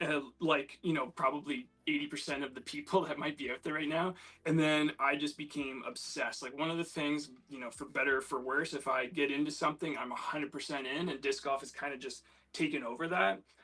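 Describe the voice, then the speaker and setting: A man speaks in a Canadian accent at a fairly high pitch. It is an ordinary speaking voice with fairly even intonation. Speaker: disc golf player, guest. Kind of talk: casual chat.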